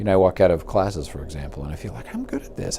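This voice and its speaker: A man speaks quietly. Noticeable background noise sits behind him. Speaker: university professor. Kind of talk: casual interview. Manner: halting, many repeated words; quiet and reserved.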